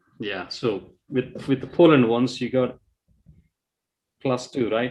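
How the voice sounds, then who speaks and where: At a moderate pace, a man talks in a non-native accent. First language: not English. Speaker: quiz co-host. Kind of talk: live quiz hosting.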